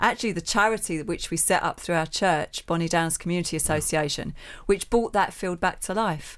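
A woman speaks in a Cockney accent at a fairly quick pace. Her pitch variation is ordinary, and the recording is very clean with a silent background. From East London. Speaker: charity trustee and community organizer. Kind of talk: interview. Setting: studio.

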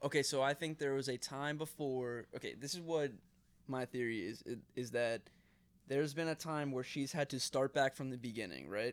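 This man has an ordinary speaking voice, talking at a moderate pace with a medium pitch and ordinary pitch variation. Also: very clean recording, silent background. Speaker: podcast co-host. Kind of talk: casual chat.

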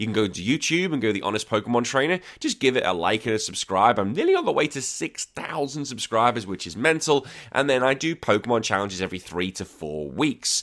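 A man with a Liverpool accent talks at a very fast pace with hardly any pauses. His pitch is medium, his intonation lively, and the recording very clean with a silent background. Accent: Liverpool (Scouse) English. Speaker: podcast host. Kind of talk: casual chat.

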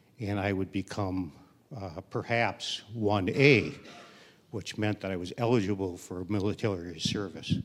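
A man with an American accent and an ordinary speaking voice, fairly low in pitch, with ordinary pitch variation at a fairly slow pace. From Milwaukee, Wisconsin. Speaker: storyteller. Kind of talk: storytelling on stage. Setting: stage with audience.

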